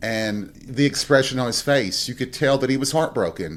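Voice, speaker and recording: Medium in pitch, this man has a plain, everyday voice. His pitch varies in an ordinary way. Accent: American. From Southern US. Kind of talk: podcast monologue. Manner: casual, reflective.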